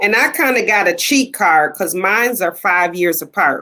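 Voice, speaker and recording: Loud and bright, a woman's voice has a sharp tone at a medium pitch. She speaks at a moderate pace. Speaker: panelist mother. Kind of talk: casual chat.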